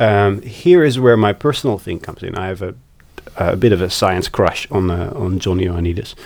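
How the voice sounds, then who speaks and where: A fairly low-pitched man with a Dutch accent, moderate in pace, with ordinary pitch variation and big swings in loudness. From Netherlands, Amsterdam. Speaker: psychology researcher. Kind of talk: interview. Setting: recorded at a conference. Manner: halting.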